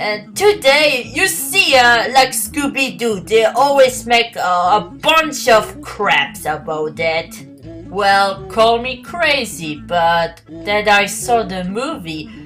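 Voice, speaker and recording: With music in the background, a woman with a non-native accent speaks at a very slow pace in a fairly high pitch with very wide pitch swings. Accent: non-native English speaker. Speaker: podcaster. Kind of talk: casual solo podcast talk.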